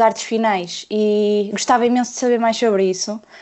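With an ordinary speaking voice, a woman of fairly high pitch talks at a fairly quick pace in a fairly even intonation. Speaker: illustrator. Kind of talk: casual chat.

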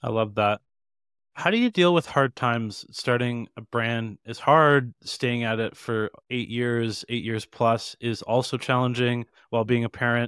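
A man talks in a plain, everyday voice at a medium pitch and fairly slow pace. The sound is dry and close with no echo, on a very clean recording with a silent background. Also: fairly even intonation. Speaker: podcast interviewer. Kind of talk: interview.

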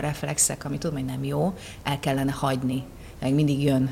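Behind a woman's fairly quick speech, noticeable background noise can be heard. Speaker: actress. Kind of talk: casual chat.

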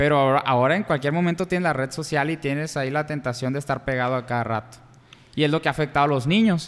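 A man rattles along at a very fast pace while his pitch varies in an ordinary way. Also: fairly high pitch for a man. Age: 20s. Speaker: podcast co-host. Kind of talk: casual chat.

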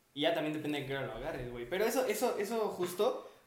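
A man is heard through audible room echo and noticeable background noise. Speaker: podcast co-host, university student. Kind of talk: casual chat.

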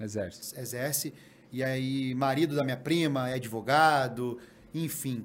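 Room echo is audible as a man talks at a fairly slow pace. His medium pitch carries fairly even intonation. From Guarapari, Espírito Santo, Brazil. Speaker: reality TV contestant. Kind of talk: casual chat.

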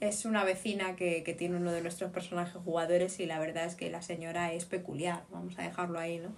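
Amid audible room echo, a woman with a fairly low pitch speaks at a very fast pace with hardly any pauses. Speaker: podcast co-host. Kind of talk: casual chat. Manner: animated.

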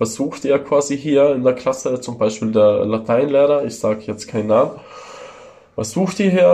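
This voice belongs to a man. Its pitch shows ordinary variation. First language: Italian or Ladin (speaking German). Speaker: tattoo artist. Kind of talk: casual chat. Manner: hesitant, many fillers. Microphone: phone recording.

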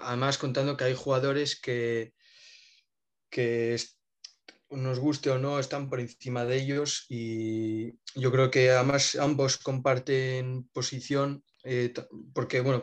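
A man talks at a fairly slow pace in a medium pitch, with monotone, flat intonation. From Spain. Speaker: basketball fan content creator. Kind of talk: casual chat.

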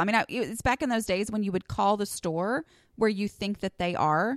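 A woman's normal speaking voice at a medium pitch with ordinary pitch variation, dry and close with no echo, in a very clean recording with a silent background. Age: 40s. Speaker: podcast host and blogger. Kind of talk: casual monologue. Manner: conversational with fillers.

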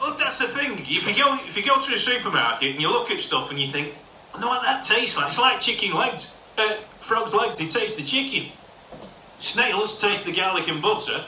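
With noticeable background noise behind him, a man with a high voice speaks at a fairly quick pace, his pitch swinging very widely. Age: 50s. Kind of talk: casual chat. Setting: video call.

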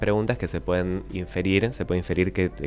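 A man's very deep, low voice at a fairly quick pace, with fairly even intonation and noticeable background noise. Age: 20s. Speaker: economics columnist. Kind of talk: radio interview on economics.

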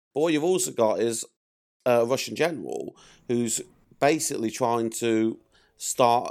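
A medium-pitched man with an English accent and ordinary pitch variation. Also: very clean recording, silent background. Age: 40s. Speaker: film fan. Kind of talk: podcast interview.

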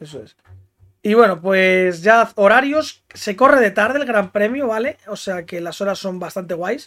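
A man with a high pitch talks with ordinary pitch variation and big swings in loudness. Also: fairly slow pace. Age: 20s. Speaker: podcast host. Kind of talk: casual chat.

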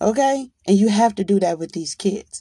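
A woman speaks with a somewhat breathy voice and lively intonation. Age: 40s. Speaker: podcast host. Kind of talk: monologue. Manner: animated.

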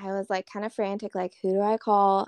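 Recorded with a dry, close sound and no echo, a woman with an American accent speaks over a quiet background. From North Carolina, Charlotte. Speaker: woodworking business owner. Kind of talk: casual chat.

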